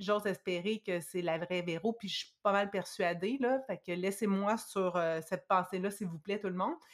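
A woman's medium-pitched, ordinary speaking voice at a moderate pace, with fairly even intonation. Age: 40s. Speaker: guest sharing personal experience with dieting. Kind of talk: testimony.

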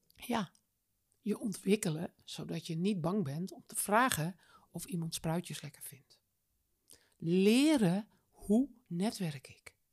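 A woman speaks at a very slow pace with long, frequent pauses and a somewhat breathy voice. Her intonation is lively, and her loudness swings widely. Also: medium pitch for a woman. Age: 60s. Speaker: business coach. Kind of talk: interview. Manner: animated.

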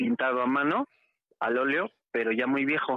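A man speaks with a Mexico City accent. His pitch sits fairly high. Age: 30s. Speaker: caller. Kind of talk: testimony.

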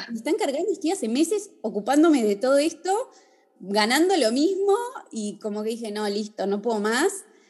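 A woman's high-pitched voice makes very wide pitch swings against noticeable background noise. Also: moderate pace. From Argentina, Bariloche. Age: 30s. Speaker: fashion designer and influencer. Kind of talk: casual interview. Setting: video call.

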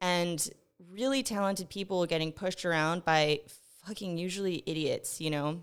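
Here a woman speaks with a fairly low pitch and ordinary pitch variation. Her pace is moderate. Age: 30s. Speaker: podcast host. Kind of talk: casual rant monologue. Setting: home studio with headphones and mic. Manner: animated.

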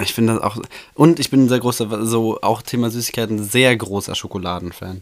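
On a very clean recording with a silent background, a man speaks fairly quickly in a plain, everyday voice, medium in pitch with ordinary pitch variation. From Germany, Bochum (Ruhr area). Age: 20s. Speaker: podcast co-host.

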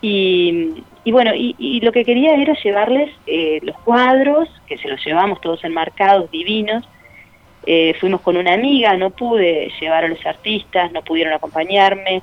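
A woman speaks at a medium pitch and a fairly slow pace, her pitch swinging very widely. Background noise is noticeable. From Uruguay, Cerro Largo (rural northeast). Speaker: art gallery owner. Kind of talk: interview. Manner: halting.

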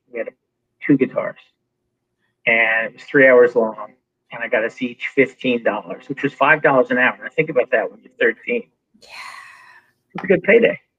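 A man is shouting, with big swings in loudness. He keeps a moderate pace broken by long, frequent pauses. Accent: American. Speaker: entertainment executive. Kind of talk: casual chat.

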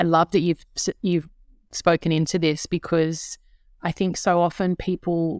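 Dry and close with no echo, a woman in an ordinary speaking voice talks at a moderate pace and a fairly low pitch. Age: 30s. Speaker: guest host and entrepreneur. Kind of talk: casual chat.

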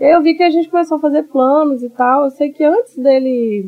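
A woman talks at a fairly quick pace. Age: 30s. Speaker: psychoanalyst and teacher. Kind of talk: interview.

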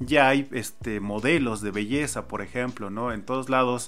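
A man's unremarkable speaking voice, medium in pitch, at a moderate pace with ordinary pitch variation. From Mexico. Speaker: podcast host. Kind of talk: casual chat.

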